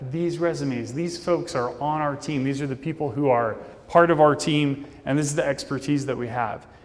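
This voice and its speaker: A man speaks at a fairly high pitch with ordinary pitch variation. The room gives off audible echo. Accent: American. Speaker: conference speaker. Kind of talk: conference talk. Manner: casual.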